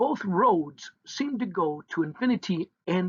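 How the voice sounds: The voice is a natural reading voice. The background is quiet.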